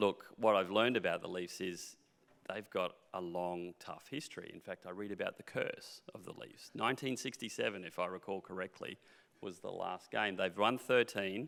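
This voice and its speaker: Speaking at a moderate pace in an Australian accent, a man lets his loudness swing widely. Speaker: mining company executive. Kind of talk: panel interview.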